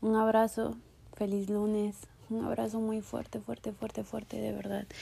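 This speaker, in a Mexican accent, talks at a fairly slow pace. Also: woman. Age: 20s. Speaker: podcast host. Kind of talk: casual monologue; guided meditation.

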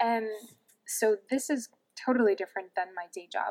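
In a New York accent, a woman talks at a fairly quick pace with fairly even intonation. The sound is dry and close, with no echo. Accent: New York American. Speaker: head of product at a tech startup and entrepreneur. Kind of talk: podcast interview.

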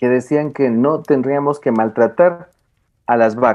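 A man talks with an ordinary speaking voice, a medium pitch and ordinary pitch variation. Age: 40s. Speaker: philosophy and education scholar. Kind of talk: casual chat.

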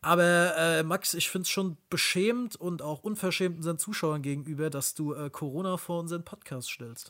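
His pace is moderate. The man's voice sits high in pitch. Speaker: podcast co-host. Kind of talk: casual chat.

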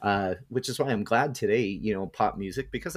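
Recorded very cleanly against a silent background with a dry, close sound and no echo, a man talks at a very fast pace with fairly low pitch and ordinary pitch variation. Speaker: podcast co-host. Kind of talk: casual chat.

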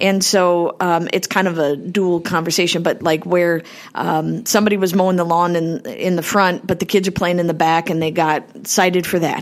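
A woman with an Upper Midwest accent, fairly low pitch, fairly even intonation, very even loudness, a moderate pace and hardly any pauses. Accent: Upper Midwest (Minnesota). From Minnesota, South St. Paul / Cottage Grove area. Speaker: state senator. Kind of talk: interview. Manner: hesitant with many fillers.

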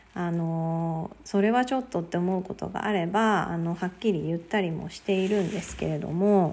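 A woman's fairly low voice at a moderate pace, hardly any pauses, ordinary pitch variation, a plain, everyday voice. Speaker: podcaster. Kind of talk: solo talk.

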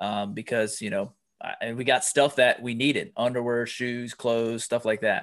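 Against a quiet background, a man with an American accent and a plain, everyday voice speaks at a moderate pace and medium pitch. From US, Pennsylvania. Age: 40s. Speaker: life coach and author. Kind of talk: interview conversation.

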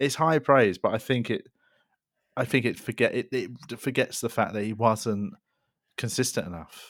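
On a very clean recording with a silent background, a man with a London accent talks at a moderate pace and medium pitch, leaving long, frequent pauses. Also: ordinary pitch variation. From South London. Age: 30s. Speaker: comedian. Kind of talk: casual chat.

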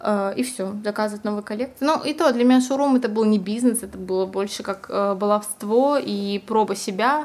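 At a moderate pace with hardly any pauses, a normal speaking voice moves through ordinary pitch variation. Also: woman, fairly high pitch for a woman. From Siberia, Russia. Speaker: fashion model and stylist. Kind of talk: casual interview chat.

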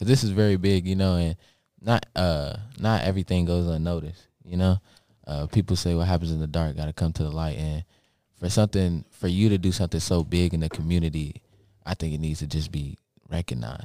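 A man with a very deep, low pitch and a dark, mellow tone speaks with ordinary pitch variation on a very clean recording with a silent background. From Lexington, Kentucky. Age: 18. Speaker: student podcast co-host. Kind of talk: casual chat.

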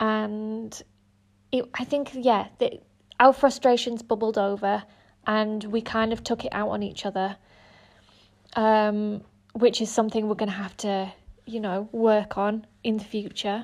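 A woman's fairly high voice in monotone, flat intonation at a fairly slow pace, broken by long, frequent pauses. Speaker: drama student. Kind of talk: reflective monologue. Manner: hesitant, many fillers.

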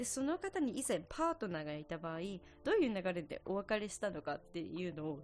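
A woman speaks with lively intonation. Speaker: podcast host, music student. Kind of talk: casual monologue. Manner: fast.

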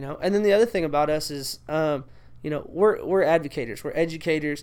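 In a very clean recording with a silent background, a man with an unremarkable speaking voice talks at a fairly quick pace and a fairly high pitch, with ordinary pitch variation. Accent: American. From Texas. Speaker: athletic trainer and teacher. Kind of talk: casual interview chat.

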